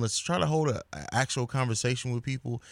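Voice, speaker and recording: A man with an American accent in a normal speaking voice, medium pitch and ordinary pitch variation, on a very clean recording with a silent background. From grew up abroad, military-style moving; US family. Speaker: podcaster, media company owner. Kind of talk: casual chat.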